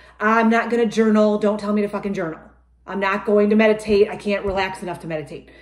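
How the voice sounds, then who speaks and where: A woman at a very fast pace, with audible room echo over a quiet background. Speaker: life coach. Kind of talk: casual vlog chat. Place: kitchen.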